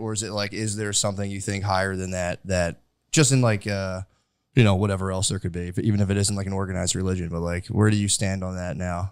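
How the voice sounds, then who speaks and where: This man has a normal speaking voice, a fairly low pitch, an American accent and fairly even intonation, and he talks at a fairly quick pace on a very clean recording with a silent background. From US suburbs. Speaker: podcast host and comedian. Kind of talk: casual interview. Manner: rambling, many fillers.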